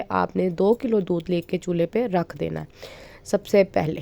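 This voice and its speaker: A woman with a dark, mellow tone is heard in a dry, close recording with no echo. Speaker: cooking channel host. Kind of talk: cooking tutorial. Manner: chatty, conversational.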